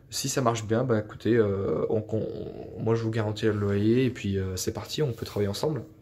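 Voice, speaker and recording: The speaker is a man at a moderate pace. His intonation is fairly even. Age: 20s. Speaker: IT engineer and property investor. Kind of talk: testimony. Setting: self-recorded video. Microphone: phone near.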